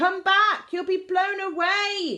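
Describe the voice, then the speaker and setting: Pitched extremely high, a woman's voice is a put-on character voice. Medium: read story. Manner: playful, theatrical.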